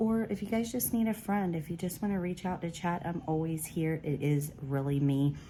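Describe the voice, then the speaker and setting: Soft-spoken delivery at a moderate pace, dark and mellow in tone, with ordinary pitch variation. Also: woman, fairly low pitch for a woman. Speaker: craft YouTuber. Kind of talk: casual haul vlog. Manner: soft-spoken, talking low; animated.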